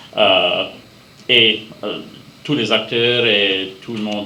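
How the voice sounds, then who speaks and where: A man with an Acadian accent talks in a monotone, flat intonation over noticeable background noise and audible room echo. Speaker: amateur theatre actor. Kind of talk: interview. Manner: halting.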